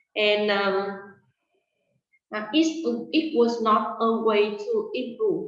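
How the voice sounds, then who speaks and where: The woman's intonation is lively and her pitch fairly high. Audible room echo surrounds her voice. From Vietnam. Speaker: English teacher. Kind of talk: interview. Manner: halting, many fillers and repeats.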